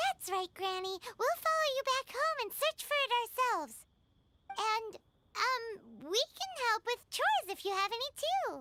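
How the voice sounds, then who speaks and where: Put-on character voice, squeaky and extremely high in pitch, delivered at a moderate pace. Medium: video game. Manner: lively, expressive.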